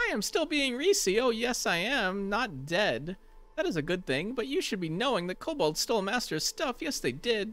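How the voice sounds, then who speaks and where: A man in a strained, put-on character voice, high-pitched, at a moderate pace. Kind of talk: odd broken grammar, speaks of self in third person. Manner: funny, strained.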